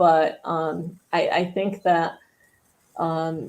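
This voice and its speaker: A woman talks in a fairly low voice with a dark, mellow tone. She has an American accent. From Scotland, then US from age eleven. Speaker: community volunteer. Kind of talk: casual chat.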